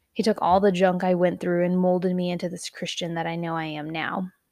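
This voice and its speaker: A woman talks at a fairly quick pace in an American accent, her pitch fairly low. The recording is very clean, with a silent background. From Texas. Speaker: podcast host. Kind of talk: personal testimony. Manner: casual.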